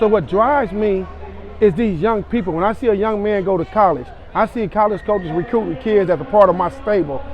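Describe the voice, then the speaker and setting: Lively intonation carries a fairly quick delivery, with noticeable background noise present. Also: man. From Los Angeles, Compton. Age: 60s. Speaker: youth basketball coach. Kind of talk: interview. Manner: animated.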